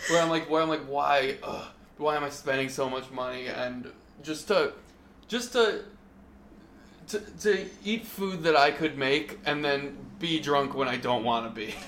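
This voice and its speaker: Audible room echo surrounds a man with a fairly high pitch and lively intonation. He speaks at a fairly slow pace with long, frequent pauses. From Westchester County, New York. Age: 20s. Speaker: comedian and podcast host. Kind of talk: casual chat. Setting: living room recording.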